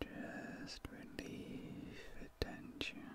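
Over loud background noise, a soft-spoken man is whispering. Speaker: ASMR creator. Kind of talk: soft sleep-aid ASMR talk. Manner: soft close deep whisper. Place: home room.

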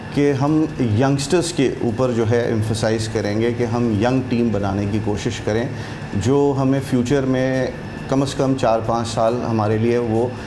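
A man's medium-pitched voice at a fairly slow pace, with few pauses and clear background noise. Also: fairly even intonation.

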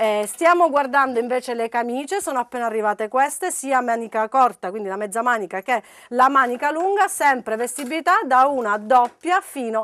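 Lively in intonation, a woman talks in an animated, upbeat tone at a high pitch. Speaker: shop promoter. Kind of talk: sales pitch; street-seller style TV promo, reeling off prices and repeating discounts. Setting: shop showroom, on-camera TV promo. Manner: animated, insistent, upbeat salesman delivery. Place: shop.

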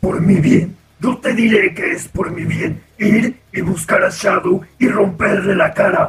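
This man has a high voice and speaks fairly slowly. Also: hardly any pauses. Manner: angry, boastful.

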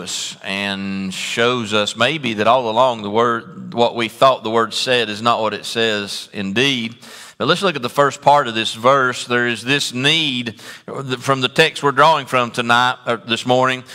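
A man's speech moves at a fairly slow pace with ordinary pitch variation. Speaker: preacher. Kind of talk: sermon. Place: church.

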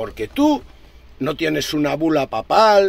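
An animated man with a Galician accent and a fairly high voice, in a dry sound with no echo. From Galicia, Spain. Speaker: truck driver vlogger. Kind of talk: rant. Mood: indignant, sarcastic. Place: car. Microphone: phone near.

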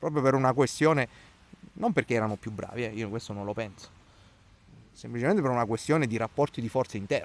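Talking very fast yet with long, frequent pauses, a man uses a medium pitch with ordinary pitch variation on a dry recording with no echo. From Italy. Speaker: local opposition councillor. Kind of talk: interview; interview answer. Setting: outdoors in a town park. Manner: hesitant, with fillers and repetitions. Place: garden. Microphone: handheld.

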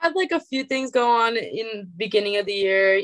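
A woman speaks with lively intonation. The background is quiet, and the sound is dry with no echo. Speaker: college softball player; guest. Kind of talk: interview. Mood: earnest, personal. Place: home room. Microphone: video call.

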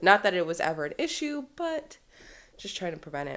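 A woman at a fairly quick pace, with very wide pitch swings. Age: 20s. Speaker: mom vlogger; new mother vlogger. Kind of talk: casual vlog talk to camera; casual vlog chat. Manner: rambling, chatty.

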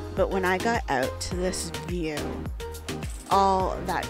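A woman talks at a fairly slow pace. Music plays behind her, and the sound is dry with no echo. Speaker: solo traveler vlogger. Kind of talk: reflective travel vlog narration.

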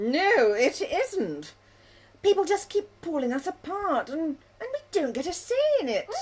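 A female-sounding, cartoonish character voice reaches extremely high pitch and makes very wide pitch swings. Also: moderate pace. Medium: puppet. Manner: indignant, scandalised.

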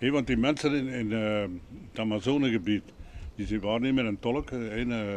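A man with a Flemish accent at a medium pitch, moderate pace and fairly even intonation, with light background noise. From Flanders, Belgium. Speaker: retired rural policeman. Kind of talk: casual street conversation. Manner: spontaneous, fluent. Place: street.

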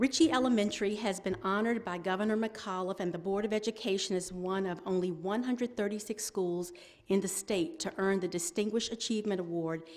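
Ordinary pitch variation from a woman, at a moderate pace. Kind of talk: ceremony announcement. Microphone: podium.

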